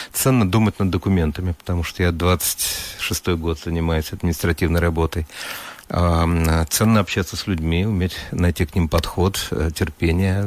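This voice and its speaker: Noticeable background noise sits behind a man speaking at a moderate pace in a very deep, low pitch. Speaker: professor and museum director. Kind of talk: radio interview. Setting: radio studio.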